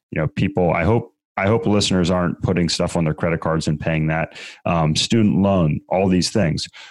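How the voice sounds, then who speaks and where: A man's very deep, low voice at a moderate pace with ordinary pitch variation, dry and close with no echo, on a very clean recording with a silent background. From Maryland, US. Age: 40s. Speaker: real estate investor. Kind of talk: interview. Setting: studio.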